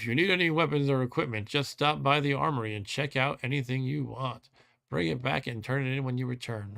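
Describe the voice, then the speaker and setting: A man's put-on, growling character voice at a medium pitch and fairly quick pace, on a very clean recording with a silent background. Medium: actual play. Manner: growling, commanding.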